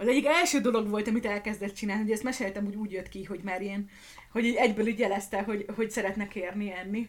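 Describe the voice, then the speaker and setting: A woman with fairly high pitch talks very fast with fairly even intonation. Noticeable background noise runs beneath her. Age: 30s. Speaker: podcast host and streamer, new mother. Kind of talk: casual Q&A livestream chat. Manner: chaotic, rambling.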